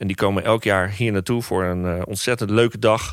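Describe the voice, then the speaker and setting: A man talks in a monotone, flat intonation. The recording is very clean, with a silent background. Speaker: music teacher and school podcast co-host. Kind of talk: casual chat. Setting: school gym storeroom.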